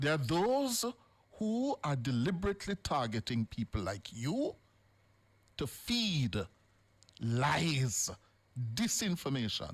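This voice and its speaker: Very slow, with long and frequent pauses, a man talks at a fairly high pitch in a somewhat breathy voice. His pitch swings very widely while his loudness stays very even. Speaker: radio talk show host. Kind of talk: live radio talk show confrontation with a caller. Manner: firm, interrupting, then measured and serious.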